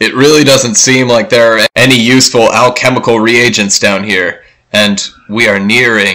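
At a moderate pace, the lines come out in a put-on character voice. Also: man, medium pitch for a man. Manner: pompous, irritated, then scared.

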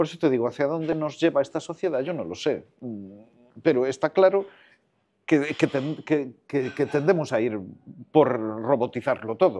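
A man with a fairly high voice and a dark, mellow tone, ordinary pitch variation, a fairly slow pace and long, frequent pauses. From Costa da Morte, Galicia; raised in A Coruña; Galicia. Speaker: film director, screenwriter and voice actor; voice actor. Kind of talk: casual interview chat. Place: hall. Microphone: lapel.

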